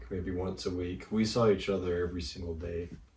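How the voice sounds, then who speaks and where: Very deep and low, a somewhat breathy man speaks at a fairly slow pace with ordinary pitch variation, and room echo is audible. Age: 30s. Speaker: host's husband. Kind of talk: casual Q&A chat.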